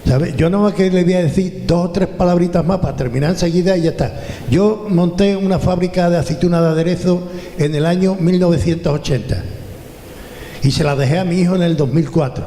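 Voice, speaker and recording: This man's voice sits high in pitch and moves at a fairly quick pace with fairly even intonation. Noticeable background noise and audible room echo are present. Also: very even loudness. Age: 70s. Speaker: retired businessman, audience member. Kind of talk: audience question and anecdote at panel event. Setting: event hall with audience, handheld mic.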